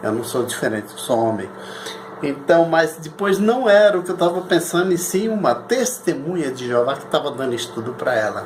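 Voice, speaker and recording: The speaker's pitch swings very widely at a moderate pace, with noticeable background noise and audible room echo. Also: man, fairly high pitch for a man. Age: 60s. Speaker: lawyer and anti-cult activist. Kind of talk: personal testimony monologue. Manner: halting, repetitive.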